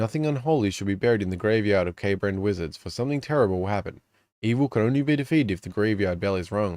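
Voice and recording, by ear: A natural voice reading aloud, lively in intonation, against a quiet background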